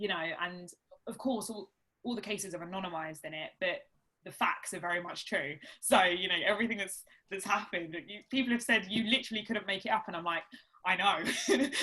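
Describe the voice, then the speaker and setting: A woman at a medium pitch speaks with an Essex accent, her loudness swinging widely. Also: ordinary pitch variation, fairly quick pace. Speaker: barrister and author. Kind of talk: interview at a live talk event.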